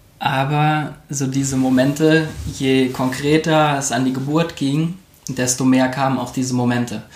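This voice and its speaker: In audible room echo, a man speaks at medium pitch and a fairly slow pace with monotone, flat intonation. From Koblenz, western Germany. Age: 30s. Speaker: architect and new father. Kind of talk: interview.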